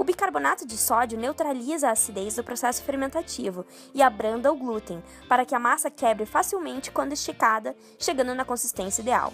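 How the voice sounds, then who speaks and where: A woman talks at a fairly quick pace in a high pitch with lively intonation. Music plays in the background. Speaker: nutrition student. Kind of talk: documentary voice-over narration. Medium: dub.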